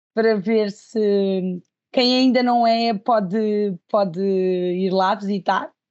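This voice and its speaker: A woman speaks very slowly at a medium pitch, with fairly even intonation and very even loudness. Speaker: design student. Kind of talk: casual feedback. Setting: video call. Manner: halting.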